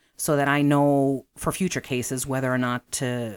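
Her pitch very deep and low, a woman with an American accent keeps her intonation fairly even. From Chicago, southeast side. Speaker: massage therapist. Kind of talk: interview.

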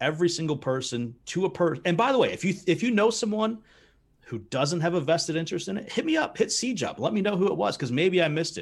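Talking very fast in an American accent, the speaker has an animated tone and lively intonation. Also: man, high pitch for a man. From United States. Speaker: sports podcast co-host. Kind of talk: casual chat.

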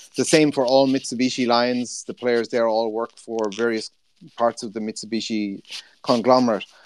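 In a dry, close sound with no echo, a man with an Irish accent talks at a moderate pace in a monotone, flat intonation. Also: medium pitch for a man. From Ireland. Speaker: sports journalist. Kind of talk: casual chat.

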